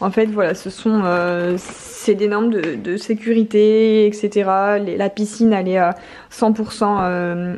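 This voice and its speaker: This woman talks at a fairly slow pace in a northern French accent, her pitch fairly high. Noticeable background noise runs underneath. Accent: northern French (ch'ti). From northern France (Nord). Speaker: lifestyle vlogger. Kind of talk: casual vlog with product review. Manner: hesitant, many fillers.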